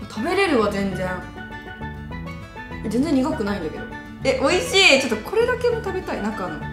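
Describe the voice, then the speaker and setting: With clear music in the background, a woman talks at a fairly quick pace broken by long, frequent pauses. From Okayama, Japan. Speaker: model and TV personality. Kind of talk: casual talk to camera. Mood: cheerful, amused. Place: studio.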